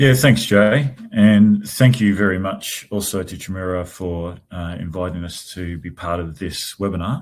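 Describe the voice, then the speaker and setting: A fairly slow pace with hardly any pauses, big swings in loudness and ordinary pitch variation, in an Australian accent. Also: man, very deep, low pitch for a man. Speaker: grant funding company executive. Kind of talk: webinar discussion.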